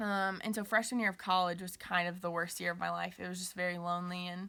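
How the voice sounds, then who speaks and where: A woman's bright, sharp voice rushes along at a very fast pace in a monotone, flat intonation. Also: medium pitch for a woman. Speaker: college student and youth ministry leader. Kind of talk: personal testimony. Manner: casual with frequent fillers.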